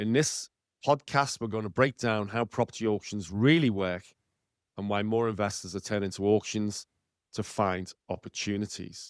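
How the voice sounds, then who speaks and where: A man with a Liverpool accent, fairly low-pitched, at a moderate pace with fairly even intonation, in a very clean recording with a silent background and a dry, close sound with no echo. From northern England, Liverpool. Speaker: podcast host and property author. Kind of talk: podcast monologue.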